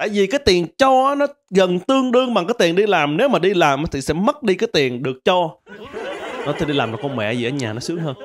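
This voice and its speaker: A very fast pace with very wide pitch swings. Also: man. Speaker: comedian. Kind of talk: stand-up comedy monologue. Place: studio. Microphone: handheld.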